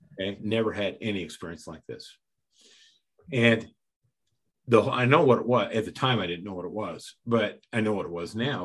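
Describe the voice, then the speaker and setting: Delivered at a moderate pace, the speech has an American accent and ordinary pitch variation. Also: man. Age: 60s. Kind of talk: interview testimony. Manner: halting, many repeated words.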